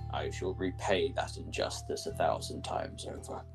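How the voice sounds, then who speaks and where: Loud music plays in the background. Over it, a man performs a put-on character voice. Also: moderate pace. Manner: cold, menacing, grandiose.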